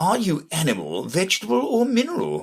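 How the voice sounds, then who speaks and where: Speaking at a fairly quick pace, a man puts on a character voice pitched fairly high. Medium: read story. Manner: yawning.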